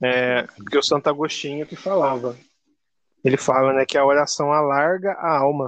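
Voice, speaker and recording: At a moderate pace, a man with a fairly high pitch speaks in a plain, everyday voice with fairly even intonation. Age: 30s. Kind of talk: casual faith interview.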